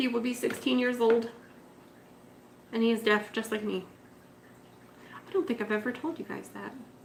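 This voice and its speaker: A loud woman with a high pitch talks at a moderate pace, leaving long, frequent pauses. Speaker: betta fish keeper livestreaming. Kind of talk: casual livestream chat. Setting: live stream.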